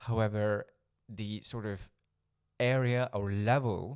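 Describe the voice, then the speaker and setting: In a very clean recording with a silent background, a man with a Norwegian accent talks with a fairly low pitch and ordinary pitch variation. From Norway. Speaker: spiritual coach and healer. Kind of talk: talking-head video monologue. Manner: occasional stumbles and fillers.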